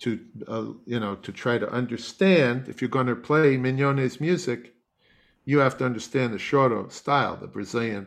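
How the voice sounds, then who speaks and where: With an American accent, a man speaks in a normal speaking voice at a medium pitch, a moderate pace and ordinary pitch variation. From US Northeast (Long Island, New York). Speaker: classical bassoonist and music professor. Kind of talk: interview.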